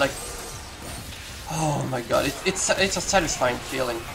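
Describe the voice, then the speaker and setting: Music plays in the background as the speaker talks with a non-native accent. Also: man. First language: not English. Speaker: gamer. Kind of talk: casual gameplay commentary. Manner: hesitant, many pauses and fillers.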